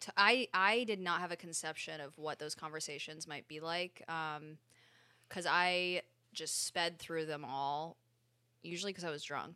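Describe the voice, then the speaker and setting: A woman with an American accent, fairly slow and fairly low-pitched, her tone bright and sharp, on a very clean recording with a silent background. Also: ordinary pitch variation. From Connecticut, US. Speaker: podcast host. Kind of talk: casual chat. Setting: Instagram Live stream.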